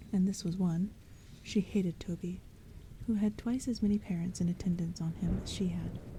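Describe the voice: Someone is doing plain reading aloud. The intonation holds fairly even.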